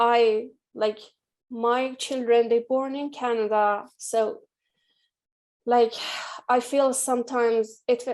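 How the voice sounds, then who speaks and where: In a very clean recording with a silent background, a woman with an Iranian accent speaks at a high pitch in a monotone, flat way, very slowly and with long, frequent pauses. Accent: Iranian (Persian) accent in English. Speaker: artist. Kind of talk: panel discussion.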